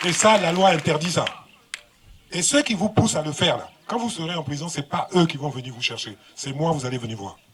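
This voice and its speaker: Against noticeable background noise, a man with a fairly high pitch talks at a fairly quick pace, with lively intonation and big swings in loudness. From Côte d'Ivoire, Yamoussoukro. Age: 60s. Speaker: government minister and governor. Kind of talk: public speech. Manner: animated.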